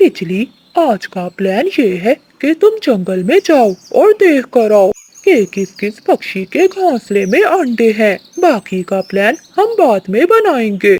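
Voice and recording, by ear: In a cartoonish character voice, the speaker talks fairly slowly at a fairly high pitch with very wide pitch swings.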